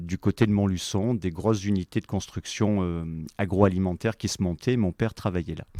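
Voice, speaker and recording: At a moderate pace, the speech has ordinary pitch variation and a dry, close sound with no echo. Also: man, very clean recording, silent background. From France, moved around (Allier, Cuba, Médoc). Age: 40s. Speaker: company executive. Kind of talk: podcast interview.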